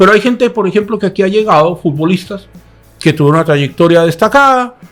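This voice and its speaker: With music playing in the background, a man talks at a very fast pace. His high-pitched voice carries lively intonation. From Colombia (Chilean-born, raised in Colombia from age six). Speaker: news program co-host. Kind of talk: news analysis discussion. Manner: animated.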